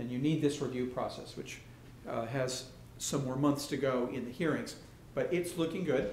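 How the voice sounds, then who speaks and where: Audible room echo surrounds a man speaking at a moderate pace. His pitch is fairly high with ordinary variation. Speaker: architect. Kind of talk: lecture.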